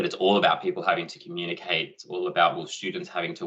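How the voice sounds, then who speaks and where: The man speaks with an Australian accent. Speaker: education technology presenter. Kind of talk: online conference presentation. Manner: fast.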